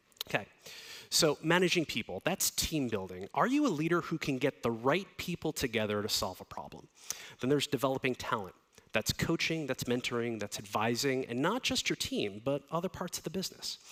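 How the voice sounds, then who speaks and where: With an American accent, a man of medium pitch speaks at a fairly quick pace with lively intonation, captured in a very clean recording with a silent background and a dry, close sound with no echo. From US, New Jersey. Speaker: design leader and conference speaker. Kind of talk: conference talk. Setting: stage with audience. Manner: fast; animated.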